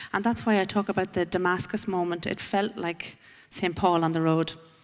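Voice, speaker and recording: With an Irish accent, a woman with a fairly low voice speaks at a moderate pace with fairly even intonation, in a very clean recording with a silent background. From Ireland. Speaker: panelist sharing personal testimony. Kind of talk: testimony.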